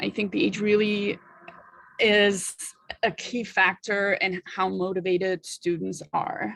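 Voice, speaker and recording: At a fairly slow pace, a woman speaks with a German accent. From Germany. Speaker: language teacher. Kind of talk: discussion in a workshop. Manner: halting.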